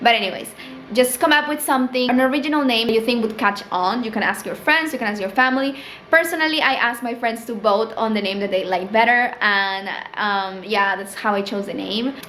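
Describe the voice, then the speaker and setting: Over noticeable background noise and audible room echo, a woman with a Spanish accent talks at a fairly quick pace in a fairly high voice with ordinary pitch variation. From Peru. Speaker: small business owner and vlogger. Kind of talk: casual tutorial vlog. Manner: casual, filler-heavy (um, like).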